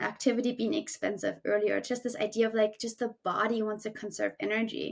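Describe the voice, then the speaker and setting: A woman speaks in a German accent at a fairly quick pace. Her pitch sits fairly high. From Germany. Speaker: climbing coach and podcast co-host. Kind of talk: casual chat.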